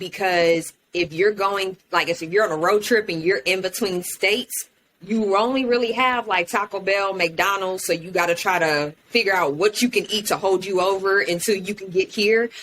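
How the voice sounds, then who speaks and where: A woman talks at a moderate pace with an American accent, medium in pitch with ordinary pitch variation. She has an ordinary speaking voice. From Houston, Texas. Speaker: podcast host. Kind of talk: casual chat.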